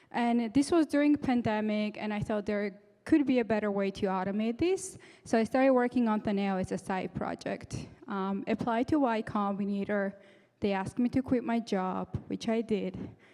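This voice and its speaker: Delivered at a moderate pace, the speech carries a dark, mellow tone and ordinary pitch variation. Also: woman, fairly high pitch for a woman. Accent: non-native. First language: not English. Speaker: startup founder, tech speaker. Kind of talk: conference talk. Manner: halting.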